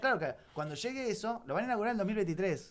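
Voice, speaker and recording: A man with a high pitch and ordinary pitch variation. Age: 40s. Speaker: radio host. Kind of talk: casual chat. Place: studio. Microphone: studio mic.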